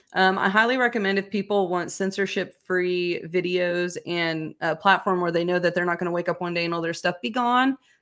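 With an unremarkable speaking voice, a woman talks at a fairly quick pace and fairly low pitch with hardly any pauses, on a very clean recording with a silent background. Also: ordinary pitch variation. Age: 30s. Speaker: pharmaceutical whistleblower. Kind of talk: interview.

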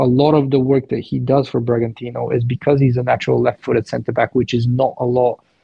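Somewhat breathy, the voice moves along at a fairly quick pace. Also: man. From Bulgaria. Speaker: football analyst. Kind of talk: podcast interview.

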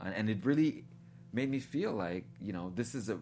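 A man speaks at a fairly quick pace. His pitch is fairly low, and his voice carries vocal fry. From Guyana, raised in Brooklyn, New York. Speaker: filmmaker. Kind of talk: interview. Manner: halting, many fillers and repetitions.

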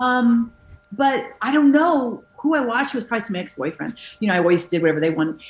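Noticeable background noise surrounds a woman talking at a very fast pace. Her fairly high pitch swings very widely. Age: 50s. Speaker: actress. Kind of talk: casual chat.

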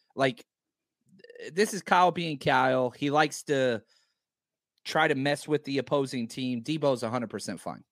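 A man with an American accent speaks at a moderate pace, with a fairly high pitch and ordinary pitch variation. Long, frequent pauses break up his speech, and the sound is dry and close with no echo. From Texas. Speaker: former football coach, analyst. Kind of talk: casual sports analysis.

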